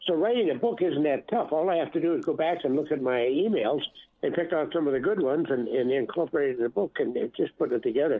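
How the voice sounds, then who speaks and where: A man with an American accent talks at a very fast pace in a fairly high pitch, his intonation lively and his loudness very even. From Minnesota. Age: 80s+. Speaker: author and metal detectorist. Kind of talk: interview. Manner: halting.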